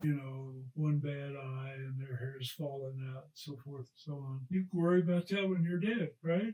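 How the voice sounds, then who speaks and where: A somewhat breathy man speaks at a moderate pace with hardly any pauses, at a fairly high pitch and with ordinary pitch variation. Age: 80s+. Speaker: retired rocket scientist and racing driver. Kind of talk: interview answer.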